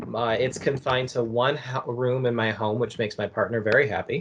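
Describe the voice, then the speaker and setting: Noticeable noise sounds in the background. The words come at a medium speed. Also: man. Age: 20s. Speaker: university academic advisor. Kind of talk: casual interview.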